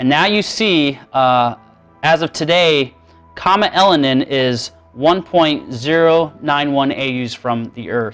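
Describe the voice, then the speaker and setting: Man at a fairly high pitch, fairly slow pace and ordinary pitch variation, with music in the background. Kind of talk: prophecy sermon and screen-share presentation. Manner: casual, conversational, with frequent filler 'uh' and 'um'.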